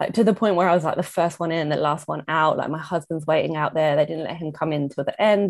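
A woman talks at a very fast pace. She has an English accent. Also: quiet background. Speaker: mother sharing pregnancy loss story. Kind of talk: casual chat.

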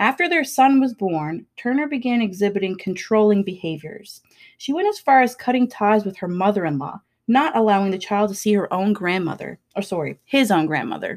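A woman talks at a fairly quick pace with lively intonation, medium pitch and an ordinary speaking voice. The recording is very clean, with a silent background. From Labrador, Canada. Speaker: podcast co-host. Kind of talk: true crime narration.

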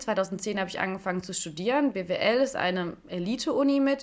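A woman with an unremarkable speaking voice, lively intonation and a moderate pace. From Stuttgart, Swabia (southwest Germany). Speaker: podcast host and life coach. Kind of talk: solo podcast monologue.

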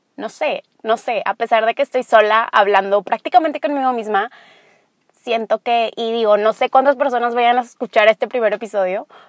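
The recording is dry and close with no echo as a woman with a fairly high voice talks at a moderate pace, her pitch varying in an ordinary way. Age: 20s. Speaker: podcast host. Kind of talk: solo monologue.

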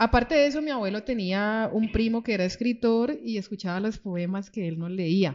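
A woman with an ordinary speaking voice and fairly high pitch talks at a moderate pace, barely pausing, with ordinary pitch variation against a quiet background. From Colombia, Cali (born Pereira, moved at six). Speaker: writer. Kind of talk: book presentation talk. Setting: stage with audience.

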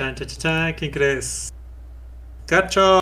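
A man with a Mexican accent. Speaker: gaming podcast co-host. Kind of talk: casual chat.

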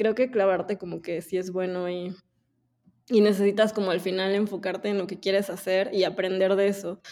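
The voice holds a monotone, flat intonation at a moderate pace on a very clean recording with a silent background. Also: woman. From Mexico (Puebla). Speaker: agency co-founder and director. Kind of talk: interview.

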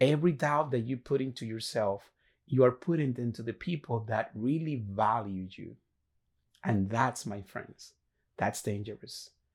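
A man of medium pitch in a Spanish accent, moderate pace and ordinary pitch variation, on a very clean recording with a silent background. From Dominican Republic. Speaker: motivational podcaster. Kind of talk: motivational monologue. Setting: solo video recording.

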